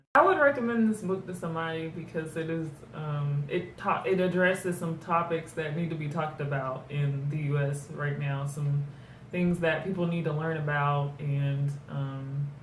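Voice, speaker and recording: A woman with a very deep, low pitch speaks at a moderate pace with fairly even intonation. Audible room echo and noticeable background noise are present. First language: German. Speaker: book reviewer. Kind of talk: casual book review chat. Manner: hesitant, many fillers.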